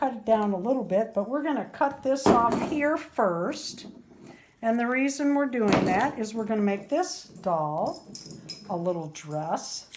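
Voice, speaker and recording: Against noticeable background noise, a woman speaks at a fairly slow pace in a fairly high pitch with very wide pitch swings. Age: 60s. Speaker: doll crafter and video host. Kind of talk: craft tutorial. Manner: casual, chatty.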